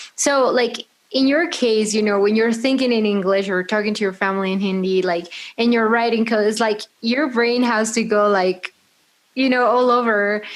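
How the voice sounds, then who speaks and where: With very even loudness and fairly even intonation, a woman talks at a moderate pace and a fairly high pitch. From Peru. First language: Spanish. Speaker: podcast host. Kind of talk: podcast interview.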